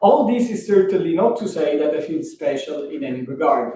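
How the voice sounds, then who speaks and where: A man speaks with a strong Italian accent and a high pitch. His tone is dark and mellow. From Italy. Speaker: professor. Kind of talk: lecture. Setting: workshop talk. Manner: formal.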